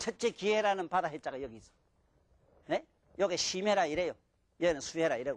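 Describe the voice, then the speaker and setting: The speech runs at a very fast pace yet is broken by long, frequent pauses. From Gyeongsang province, Korea (Mungyeong). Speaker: lecturer on classical Chinese texts. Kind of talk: lecture. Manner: animated, colloquial.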